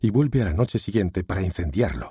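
The voice reads naturally. It is a reading voice throughout.

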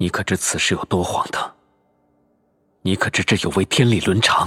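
In a strained, put-on character voice, a man talks at a moderate pace with a very deep, low pitch, the sound dry and close with no echo. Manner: restrained, low, grave.

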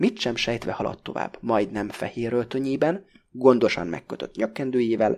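Fairly even intonation throughout, in a natural voice reading aloud

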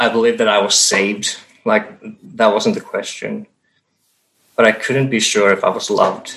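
A man with a Finnish accent talks at a moderate pace, leaving long, frequent pauses. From Finland. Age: 30s. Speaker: church member sharing testimony. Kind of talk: testimony. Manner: halting.

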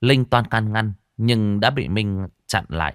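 Quiet surroundings, with a natural reading voice and fairly even intonation.

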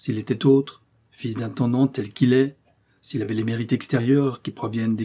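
The intonation stays fairly even as a natural voice reads aloud.

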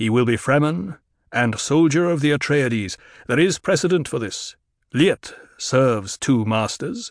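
The sound is dry and close with no echo as a man speaks at a moderate pace and a medium pitch. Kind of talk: audiobook full-cast drama. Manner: proud, formal, unhurried.

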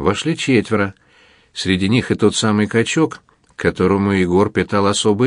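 Delivered in an unforced reading voice, the speech shows ordinary pitch variation.

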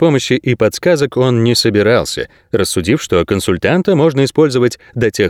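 Here is plain reading aloud. The intonation rises and falls in a lively way.

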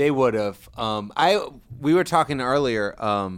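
An ordinary speaking voice, a man talks at a fairly slow pace and medium pitch with ordinary pitch variation, recorded very cleanly against a silent background. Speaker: podcast co-host. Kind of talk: casual chat. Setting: studio. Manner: laughs often.

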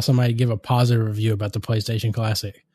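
Against a quiet background, a man with a dark, mellow tone and a somewhat breathy voice talks very fast. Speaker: podcast host. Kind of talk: casual banter podcast. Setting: home recording with old mic equipment. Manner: joking, playful.

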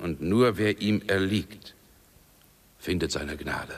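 The speaker uses a put-on character voice. The pace is slow. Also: man, low pitch for a man, ordinary pitch variation.

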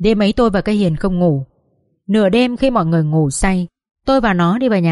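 Against a quiet background, an unforced reading voice is heard.

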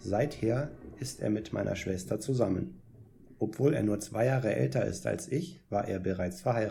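A natural reading voice carries this clip. Its pitch moves in an ordinary way.

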